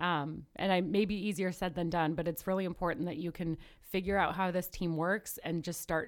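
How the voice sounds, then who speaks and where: A plain, everyday voice with an American accent shows ordinary pitch variation. The recording is very clean, with a silent background. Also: woman. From northern US. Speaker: medical student. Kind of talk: casual chat.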